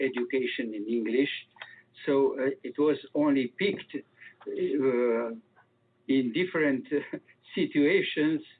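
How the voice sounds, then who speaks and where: The speaker has a non-native accent and talks at a very slow pace with ordinary pitch variation. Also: man. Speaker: UFO researcher. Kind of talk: interview. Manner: slow, hesitant.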